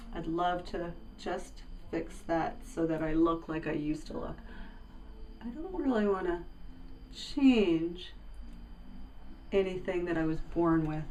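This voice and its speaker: Audible room echo surrounds a woman speaking at a fairly low pitch with ordinary pitch variation. Her pace is fairly slow, with long, frequent pauses. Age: 60s. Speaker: cosmetic patient. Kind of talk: testimony.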